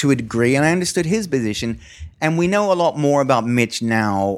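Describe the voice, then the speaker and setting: This man speaks at a fairly quick pace. His pitch swings very widely. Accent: Australian. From Australia. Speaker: stand-up comedian. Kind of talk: casual chat. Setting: studio.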